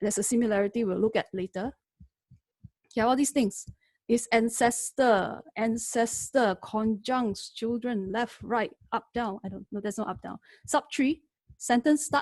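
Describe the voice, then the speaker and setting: A woman with an unremarkable speaking voice talks at a moderate pace in a fairly high pitch with ordinary pitch variation and a dry, close sound with no echo. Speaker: lecturer teaching AI. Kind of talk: webinar tutorial. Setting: online webinar.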